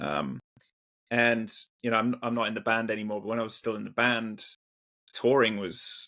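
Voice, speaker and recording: A man with an English accent speaks in a bright, sharp tone at a medium pitch with ordinary pitch variation. His moderate pace is broken by long, frequent pauses. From England. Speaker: metal musician. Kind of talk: casual interview chat. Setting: video call. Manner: halting, repeats words.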